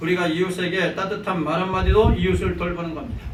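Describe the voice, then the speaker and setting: A man talks at a fairly quick pace. The room echo is audible, and there is noticeable background noise. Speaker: pastor. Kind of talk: sermon. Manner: fast.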